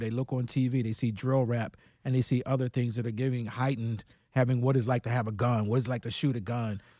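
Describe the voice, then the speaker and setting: A man's dark, mellow voice at medium pitch with an American accent, very fast in pace, dry and close with no echo, in a very clean recording with a silent background. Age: 60s. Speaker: police commissioner. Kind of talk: radio interview. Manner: enthusiastic.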